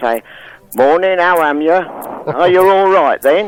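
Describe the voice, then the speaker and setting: Here a man with a London accent speaks at a fairly slow pace. Noticeable background noise runs underneath. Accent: London accent, still retained. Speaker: radio phone-in caller. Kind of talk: casual chat. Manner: halting.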